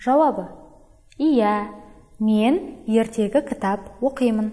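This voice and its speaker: A woman's dark, mellow voice with ordinary pitch variation over a quiet background. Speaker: teacher. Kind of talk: lecture. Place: studio.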